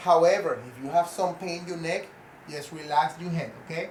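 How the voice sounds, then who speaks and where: Amid noticeable background noise, a man speaks at a moderate pace in a high voice. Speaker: fitness trainer. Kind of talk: tutorial. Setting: at home. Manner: loud.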